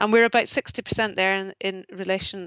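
A woman with a Northern Irish accent, medium-pitched, at a moderate pace with monotone, flat intonation. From Northern Ireland, rural. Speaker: charity chief executive. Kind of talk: interview. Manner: hesitant, with fillers and repetitions.

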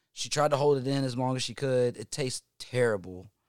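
A man with a Southern US accent talks at a moderate pace, recorded very cleanly against a silent background with a dry, close sound and no echo. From North Carolina, Hickory. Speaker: musician. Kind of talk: casual chat.

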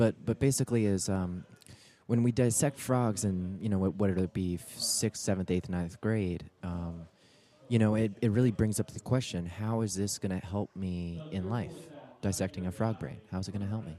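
At a moderate pace, a man speaks with a plain, everyday voice. His pitch is fairly low with ordinary variation. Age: 20s. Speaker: podcast guest. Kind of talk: casual chat.

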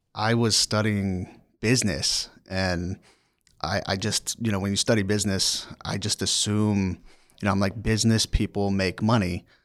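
A man's fairly low voice in an American accent, monotone and flat, with a dry, close sound and no echo. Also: moderate pace. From Maryland, near Annapolis. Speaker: human resources professional. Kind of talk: casual interview. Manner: halting, many fillers.

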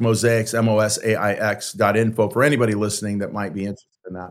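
With an American accent, a man talks at a fairly quick pace in a plain, everyday voice, his pitch medium and his intonation fairly even. The recording is very clean, with a silent background. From San Francisco, California. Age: 60s. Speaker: pastor and author. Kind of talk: interview conversation.

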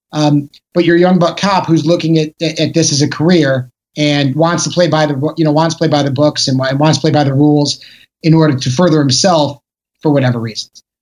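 Delivered at a moderate pace with fairly even intonation, an ordinary speaking voice carries an American accent. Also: man. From Chicago. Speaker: actor. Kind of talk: casual chat.

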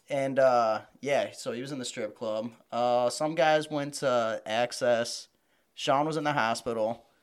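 A man has an unremarkable speaking voice at medium pitch. He goes at a fairly slow pace with fairly even intonation. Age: 30s. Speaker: wrestling fan. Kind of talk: casual chat.

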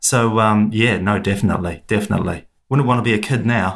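A man talks at a fairly quick pace in a fairly low voice with vocal fry. His pitch varies in an ordinary way.

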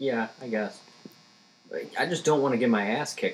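A man keeps a fairly quick pace while noticeable background noise goes on around him. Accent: American. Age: 20s. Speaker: stand-up comedian. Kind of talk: casual chat.

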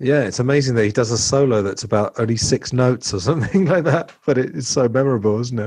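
A man at a very fast pace, medium in pitch with ordinary variation and hardly any pauses. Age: 40s. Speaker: podcast host and English teacher. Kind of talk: casual chat.

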